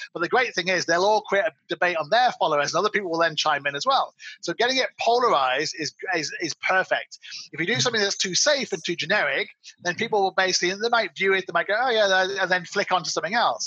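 A man with an English accent talks at a very fast pace in a raised, projected, high voice with a bright, sharp tone and ordinary pitch variation, the sound dry and close with no echo. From England. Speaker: marketing agency owner. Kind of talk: interview.

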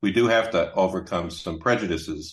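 A somewhat breathy man with a General American accent, fairly even intonation, and a moderate pace. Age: 60s. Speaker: author and business consultant. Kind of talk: casual interview.

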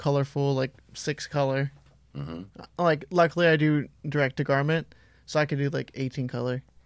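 A plain, everyday voice from a man, fairly high in pitch, at a fairly quick pace with ordinary pitch variation. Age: 20s. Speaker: clothing brand designer. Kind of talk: interview.

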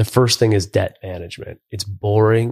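A man's fairly low, somewhat breathy voice in a monotone, flat intonation, on a very clean recording with a silent background. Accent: Western New York. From western New York, US. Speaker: reality TV personality and business podcaster. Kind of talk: casual interview. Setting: live in-person recording.

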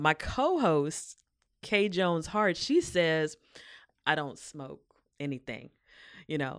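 A woman with a very deep, low pitch speaks against a quiet background. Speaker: poet and performer. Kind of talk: casual interview.

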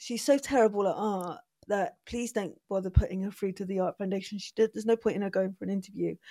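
Very fast speech in a Bristol accent, dark and mellow in tone, with fairly even intonation, big swings in loudness, and a dry, close sound with no echo on a very clean recording over a silent background. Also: woman, medium pitch for a woman. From England, Bristol. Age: 40s. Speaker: artist. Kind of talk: casual chat.

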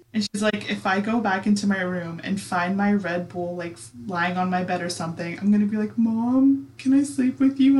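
A medium-pitched woman, with noticeable background noise. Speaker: podcast host. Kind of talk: casual chat with ghost story telling. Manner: animated, laughing.

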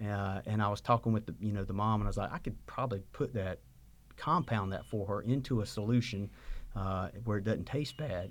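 A man in a Southern US accent, fairly low in pitch, at a fairly quick pace. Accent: Southern US (Georgia). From US South, Georgia (Sylvania). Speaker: pharmacist and pharmacy owner. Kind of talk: interview. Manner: halting, many repeated words.

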